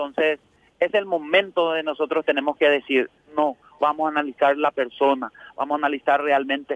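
A man with a plain, everyday voice, at a moderate pace. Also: fairly high pitch for a man, fairly even intonation. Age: 40s. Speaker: political candidate and businessman. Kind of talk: interview.

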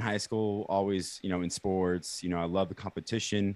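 An ordinary speaking voice with an American accent at a moderate pace, quiet background. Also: man. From Kansas City, US Midwest. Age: 20s. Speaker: entrepreneur. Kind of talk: casual interview.

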